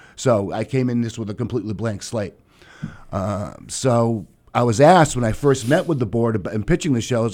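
At a very fast pace, a man talks at medium pitch in a Boston accent. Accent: Boston-area New England. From Massachusetts South Shore (Duxbury). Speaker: theater director. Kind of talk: radio interview.

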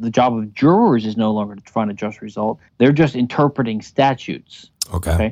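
A normal speaking voice from a man at medium pitch, with an American accent, ordinary pitch variation and a fairly quick pace. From US South, Louisiana. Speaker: libertarian legal theorist. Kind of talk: interview.

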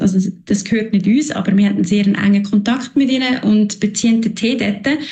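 A woman talks at a very fast pace in a fairly high pitch. Her loudness stays very even and her intonation fairly even. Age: 30s. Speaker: marketing manager. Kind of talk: interview.

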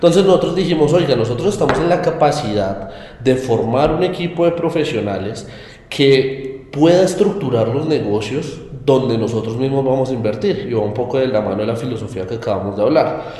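Over noticeable background noise and audible room echo, a man at a medium pitch talks at a fairly quick pace with lively intonation. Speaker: investment firm co-founder. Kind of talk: interview.

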